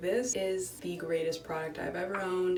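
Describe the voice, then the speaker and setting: Music sounds behind the speaker. Their intonation rises and falls in a lively way. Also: woman. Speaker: college student vlogger. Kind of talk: casual talk to camera.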